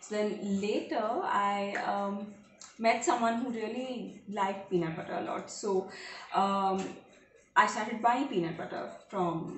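A woman speaks at a fairly slow pace with ordinary pitch variation. Audible room echo and light background noise are present. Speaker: home cooking vlogger. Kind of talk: casual vlog chat. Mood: playful storytelling. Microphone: camera far.

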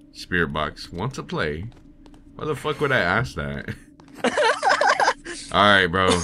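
There is noticeable background noise. A man speaks at a moderate pace with lively intonation. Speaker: voice actor. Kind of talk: casual gaming commentary. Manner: casual, excitable.

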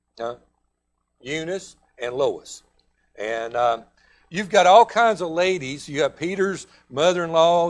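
Speaking with a Southern US accent, a man talks at a fairly slow pace. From US South. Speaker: pastor. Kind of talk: sermon. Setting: church. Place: church.

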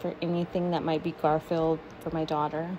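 Noticeable background noise runs under a woman's speech. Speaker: shopper vlogger. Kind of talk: casual vlog chat. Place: shop. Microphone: phone near.

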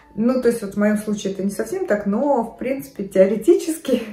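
Music plays in the background as a woman speaks at a fairly high pitch, with audible room echo. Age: 50s. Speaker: fashion and lifestyle vlogger. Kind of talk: casual talk to camera. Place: home room. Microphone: phone near.

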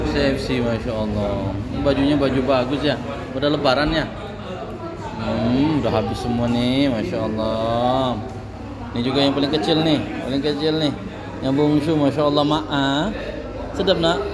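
Loud background noise sits behind a man speaking at a moderate pace. He leaves long, frequent pauses. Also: ordinary pitch variation. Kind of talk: casual vlog chat. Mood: warm and pleased. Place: cafe. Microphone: phone near.

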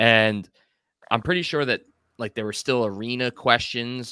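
A man's bright, sharp voice with an American accent, a dry sound with no echo and a quiet background. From Long Island, New York; New York. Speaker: podcast co-host. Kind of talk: casual interview chat. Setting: video call. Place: home room. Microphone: studio mic.

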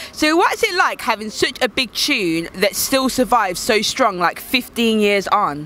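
A woman with a Birmingham accent speaks at a fairly slow pace with hardly any pauses, her fairly high pitch swinging very widely. The sound is dry, with no echo. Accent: Birmingham (Brummie) English. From Birmingham, England. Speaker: YouTube interviewer and DJ. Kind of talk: casual interview. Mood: warm, enthusiastic. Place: street. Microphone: handheld.

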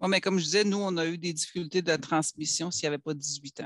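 A man talks with fairly even intonation. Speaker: academic records specialist. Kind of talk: work meeting discussion. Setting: video call.

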